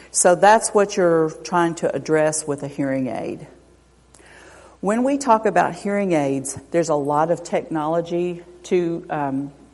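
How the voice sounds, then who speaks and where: Lively in intonation, a woman with a fairly low voice speaks at a fairly slow pace. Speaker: audiologist. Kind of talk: lecture. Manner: loud.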